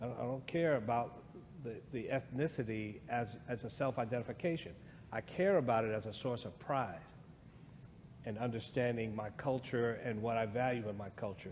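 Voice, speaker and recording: At a moderate pace and medium pitch, a man with an American accent speaks with ordinary pitch variation amid audible room echo. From US. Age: 60s. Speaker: guest speaker on race. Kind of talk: church discussion.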